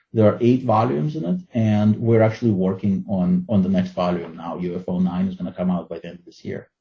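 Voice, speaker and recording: A man with a Russian accent speaks at a fairly quick pace with hardly any pauses, his fairly low voice dark and mellow in tone, its pitch varying in an ordinary way while the loudness swings widely. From Ukraine, former Soviet Union. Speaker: fantasy and science fiction writer. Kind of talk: interview.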